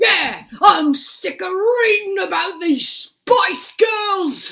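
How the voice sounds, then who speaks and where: In a put-on character voice, the speaker talks very slowly at an extremely high pitch. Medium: stage play.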